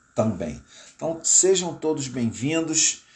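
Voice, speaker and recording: Somewhat breathy male voice at a fairly slow pace. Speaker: pastor. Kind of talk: live-stream commentary. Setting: live stream from home. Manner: halting.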